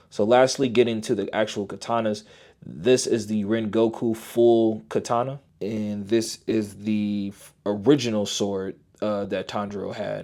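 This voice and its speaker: A quiet man with a fairly low pitch speaks in a monotone, flat intonation at a moderate pace on a very clean recording with a silent background. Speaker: toy reviewer. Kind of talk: product review. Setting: at home, son sleeping nearby. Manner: subdued, toned down to keep quiet.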